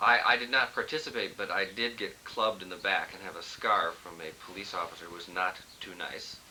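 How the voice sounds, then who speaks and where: Over noticeable background noise, a man speaks at a fairly quick pace in a fairly low pitch, with big swings in loudness. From Southern California, Los Angeles. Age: 20s. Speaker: lawyer. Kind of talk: casual interview. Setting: family reunion, on video camera. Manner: humorous, deadpan.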